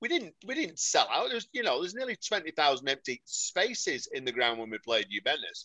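A man talks at a fairly quick pace against a quiet background. The sound is dry and close, with no echo. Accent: Mancunian. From Salford, Greater Manchester. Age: 50s. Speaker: football fan. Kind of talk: casual chat. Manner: animated.

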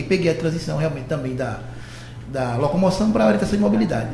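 The voice swings very widely in pitch. Audible room echo and noticeable background noise fill the recording. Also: man. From Olinda, Pernambuco. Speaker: civil servant. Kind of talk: radio interview.

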